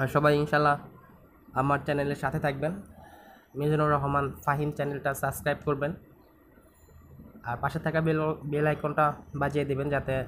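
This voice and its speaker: A man speaks with monotone, flat intonation. Light background noise runs underneath. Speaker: motorbike vlogger. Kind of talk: casual vlog chat. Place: motorbike. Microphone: helmet.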